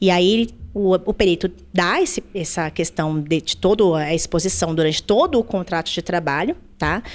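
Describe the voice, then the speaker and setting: This very clean recording has a silent background and ordinary pitch variation. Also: woman. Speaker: labor lawyer. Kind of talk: podcast interview. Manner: fast.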